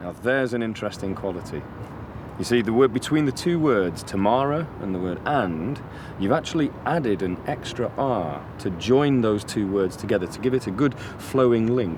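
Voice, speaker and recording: Lively intonation runs through this man's speech at a medium pitch. He uses a plain, everyday voice at a moderate pace. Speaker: accent coach presenter. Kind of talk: educational presentation to camera.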